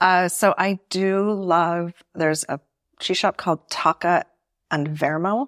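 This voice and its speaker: A woman with an American accent and an unremarkable speaking voice talks at a fairly slow pace and fairly low pitch with fairly even intonation, in a very clean recording with a silent background and a dry, close sound with no echo. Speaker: cheese and wine expert. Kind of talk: casual chat. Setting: kitchen.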